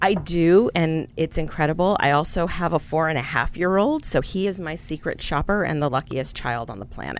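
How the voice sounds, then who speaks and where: This woman has an unremarkable speaking voice, fairly low in pitch, with an American accent. She talks at a moderate pace with ordinary pitch variation and hardly any pauses. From San Antonio, Texas. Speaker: nonprofit association director. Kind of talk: interview.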